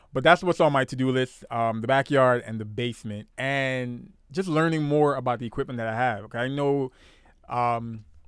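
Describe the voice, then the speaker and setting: A man with a New York accent and ordinary pitch variation, in a very clean recording with a silent background. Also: medium pitch for a man, moderate pace. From Brooklyn, New York. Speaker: podcast host. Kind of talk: casual chat.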